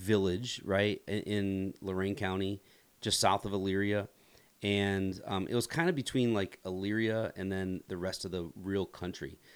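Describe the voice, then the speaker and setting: In a very clean recording with a silent background, a man with an American accent and a plain, everyday voice speaks at a moderate pace, fairly low in pitch, with fairly even intonation. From US Midwest, rural northeast Ohio. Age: 40s. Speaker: pastor. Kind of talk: podcast interview.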